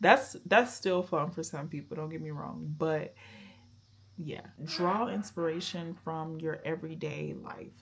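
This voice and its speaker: A soft-spoken woman's fairly low voice with vocal fry, lively intonation, big swings in loudness and a fairly slow pace. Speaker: YouTuber. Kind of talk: vlog advice talk. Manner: mumbling at times.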